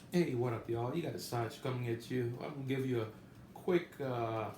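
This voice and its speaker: A man's voice sits at a medium pitch, and audible room echo can be heard around it. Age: 60s. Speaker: gambling vlogger. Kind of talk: casual monologue trip report. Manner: casual, halting with many fillers.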